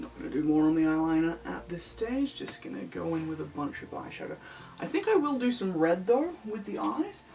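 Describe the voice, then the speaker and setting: Music plays behind a woman who talks at a fairly quick pace amid audible room echo. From Australia, NSW. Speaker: lolita fashion YouTuber. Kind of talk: casual makeup vlog. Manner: mutters and trails off.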